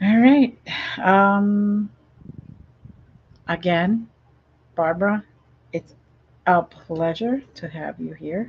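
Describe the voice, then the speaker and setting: At a very slow pace with long, frequent pauses, a woman speaks at a medium pitch, somewhat breathy, with ordinary pitch variation and big swings in loudness. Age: 60s. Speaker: talk show host. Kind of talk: interview. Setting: live streamed show.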